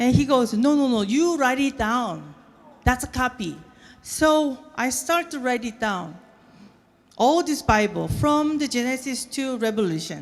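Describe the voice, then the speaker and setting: A woman with a Korean accent speaks at a fairly slow pace and high pitch, with lively intonation. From South Korea, moved to US as a child. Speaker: violinist. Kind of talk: speech to an audience. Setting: stage with audience. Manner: halting.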